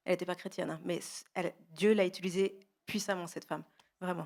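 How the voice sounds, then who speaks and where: A woman speaks fairly quickly at a medium pitch. Her intonation is monotone and flat, with big swings in loudness. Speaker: guest sharing testimony. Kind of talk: testimony. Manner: fast.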